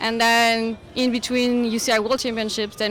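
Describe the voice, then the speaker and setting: With a French accent, a woman talks at a fairly high pitch and a moderate pace. Her intonation is monotone and flat. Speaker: sports federation media relations manager. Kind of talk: radio interview. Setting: live broadcast at outdoor race event. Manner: halting, many fillers.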